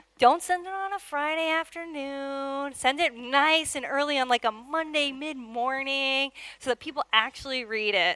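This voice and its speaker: A woman projects a raised, high-pitched voice with a bright, sharp tone and hardly any pauses. The sound is dry and close, with no echo. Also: ordinary pitch variation, moderate pace. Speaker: product manager. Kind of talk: conference talk. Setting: stage with audience.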